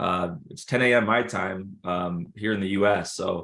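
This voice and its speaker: A man speaks in a plain, everyday voice, fairly low in pitch with fairly even intonation. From Minnesota, Minneapolis area. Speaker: trading community host. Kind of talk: interview on group call. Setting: group call.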